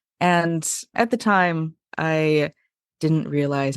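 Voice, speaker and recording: This woman's pitch is very deep and low. Behind her, the background stays quiet. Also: dry, close sound with no echo. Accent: General American. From US West Coast, Portland, Oregon. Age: 30s. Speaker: podcast guest, polyamory advocate. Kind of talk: interview. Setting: podcast.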